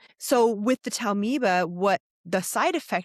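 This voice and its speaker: A woman talks with lively intonation and an animated tone, her sound dry and close with no echo over a quiet background. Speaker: evolutionary biologist. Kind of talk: podcast discussion. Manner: fast.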